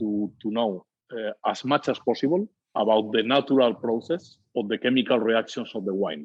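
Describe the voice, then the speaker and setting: Speaking with a Spanish accent, a man uses a medium pitch and ordinary pitch variation. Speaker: winery owner. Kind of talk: interview. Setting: podcast. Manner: halting, many hesitations.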